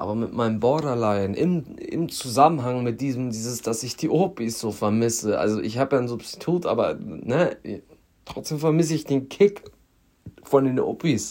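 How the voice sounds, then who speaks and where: Lively intonation and a dark, mellow tone mark this man's medium-pitched voice. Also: moderate pace. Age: 20s. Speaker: podcaster in addiction recovery. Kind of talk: personal monologue.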